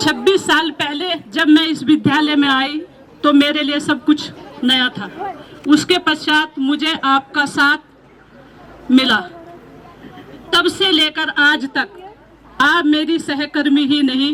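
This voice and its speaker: Over crowd noise, a woman projects a raised, high-pitched voice with fairly even intonation. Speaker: school teacher. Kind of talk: farewell speech. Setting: school retirement ceremony.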